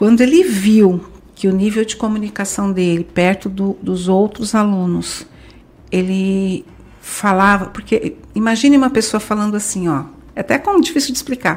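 A woman talks in a somewhat breathy voice with ordinary pitch variation. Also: medium pitch for a woman, moderate pace. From Brazil. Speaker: language school franchise director. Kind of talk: podcast interview.

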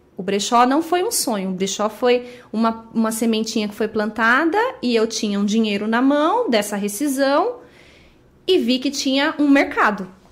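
A woman speaks at a moderate pace with a fairly high pitch and lively intonation. Noticeable noise sits in the background. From Brazil, Guarulhos (São Paulo state). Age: 30s. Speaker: thrift store owner. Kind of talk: casual interview.

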